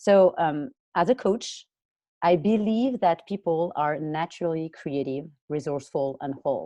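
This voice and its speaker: With a French accent, a woman speaks at a moderate pace in a dark, mellow tone, her fairly low pitch carrying lively intonation over a quiet background. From France. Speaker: college and career coach. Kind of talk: interview. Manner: hesitant, many fillers.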